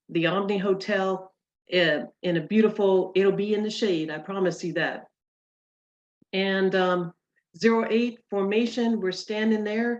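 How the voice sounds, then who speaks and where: A woman talks at a moderate pace, her pitch medium and her intonation fairly even. It is an ordinary speaking voice. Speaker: convention committee member. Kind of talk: online meeting presentation. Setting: video call.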